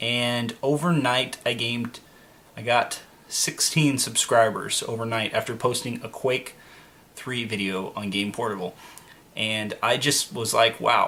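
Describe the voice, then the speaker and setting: Fairly even intonation from a normal speaking voice. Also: man. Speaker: YouTuber. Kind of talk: casual vlog talk. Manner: filler-heavy, many ums.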